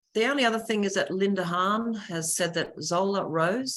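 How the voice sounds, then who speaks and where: With an Australian accent, a woman talks with normal pitch movement. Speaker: webinar host. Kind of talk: online panel moderation.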